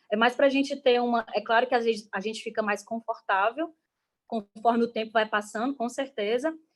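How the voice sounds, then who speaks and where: Her fairly high voice moves at a fairly quick pace with fairly even intonation, a woman speaking. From Brazil, Ceará (Caucaia, near Fortaleza). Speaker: artist and guest teacher. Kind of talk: online class presentation. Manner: fast.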